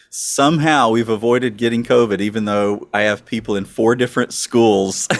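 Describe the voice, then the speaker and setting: At a moderate pace, a man speaks with a Southern US accent at a medium pitch and ordinary pitch variation. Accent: Southern US accent, noticeable. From US South, northwest mountains of North Carolina. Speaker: pastor. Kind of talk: casual interview.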